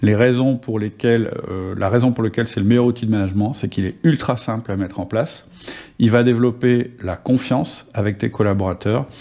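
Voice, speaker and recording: A man talks at a fairly quick pace with fairly even intonation and a medium pitch. His tone is dark and mellow, set against a quiet background. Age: 50s. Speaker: podcast host and management coach. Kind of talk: solo podcast monologue.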